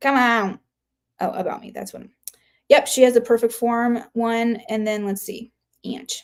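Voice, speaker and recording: A woman mumbles at a fairly slow pace with long, frequent pauses and big swings in loudness. Her voice is fairly high, with fairly even intonation. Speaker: human design chart reader, livestreamer. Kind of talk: casual livestream chat. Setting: live stream. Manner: mumbling; halting, filler-heavy.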